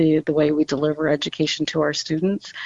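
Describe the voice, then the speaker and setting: A woman speaks with a Canadian accent in a very deep, low voice. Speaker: school board trustee candidate. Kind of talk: interview. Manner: hesitant, many fillers.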